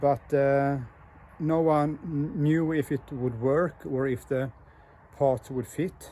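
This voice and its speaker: Very slowly and with fairly even intonation, a man with a Swedish accent speaks in a fairly high voice with a dark, mellow tone. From Sweden. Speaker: motorcycle builder and hobby mechanic. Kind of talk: casual video walkthrough. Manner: halting, many fillers.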